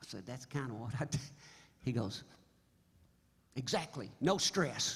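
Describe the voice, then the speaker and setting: A man with an American accent talks at a medium pitch, somewhat breathy, with long, frequent pauses and big swings in loudness. Audible room echo surrounds his voice. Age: 70s. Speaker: singer-songwriter. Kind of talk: stage banter. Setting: stage with audience. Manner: halting; animated.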